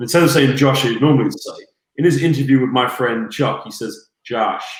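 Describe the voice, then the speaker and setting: With audible room echo, a voice in an American accent moves at a fairly quick pace with ordinary pitch variation. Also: man, medium pitch for a man. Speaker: basketball commentator. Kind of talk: casual chat.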